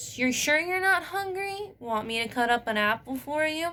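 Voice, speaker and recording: A woman puts on a character voice at a high pitch, swinging very widely in pitch while keeping a moderate pace. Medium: read story.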